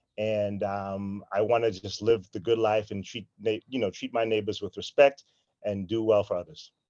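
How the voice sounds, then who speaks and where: A man with an American accent speaks at a fairly low pitch in a monotone, flat intonation. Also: moderate pace. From Lynn, Massachusetts, US. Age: 40s. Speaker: school administrator. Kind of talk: interview. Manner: hesitant, many fillers.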